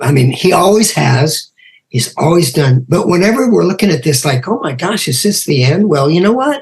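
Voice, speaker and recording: This man speaks in an American accent with a high pitch. His pitch swings very widely. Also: moderate pace. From US West Coast. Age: 70s. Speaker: podcast host and rock musician. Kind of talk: casual interview chat.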